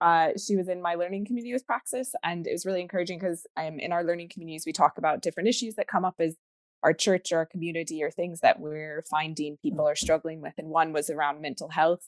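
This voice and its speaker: The speech runs at a very fast pace with ordinary pitch variation. The sound is dry and close with no echo, over a quiet background. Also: woman, fairly low pitch for a woman. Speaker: webinar host. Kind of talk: casual chat. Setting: video call.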